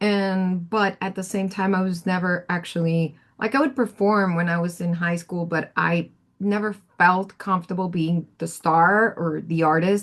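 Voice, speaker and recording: A woman with a Spanish accent and fairly even intonation, against a quiet background. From Colombia. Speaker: audio engineer and producer. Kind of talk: career workshop talk. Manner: casual, halting with many fillers.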